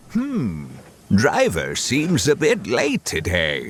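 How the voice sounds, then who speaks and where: A man puts on a character voice at medium pitch, going at a very slow pace. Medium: audio drama. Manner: polite, gentle.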